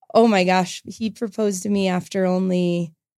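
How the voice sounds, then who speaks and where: A woman with an American accent speaks at a fairly slow pace in a monotone, flat way, her tone dark and mellow, on a very clean recording with a silent background. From Colorado, US. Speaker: assistant principal and triathlete. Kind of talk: interview.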